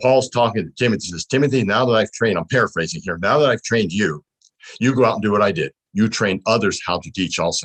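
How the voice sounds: A man speaks at a fast pace in a fairly low voice with a fairly bright, slightly husky edge. His pitch varies in an ordinary way, and the sound is dry and close with no echo.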